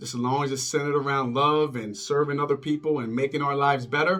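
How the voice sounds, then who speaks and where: Music can be heard behind the voice. The delivery keeps a moderate pace. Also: man. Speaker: vlogger. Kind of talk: personal storytelling monologue. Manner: casual, conversational.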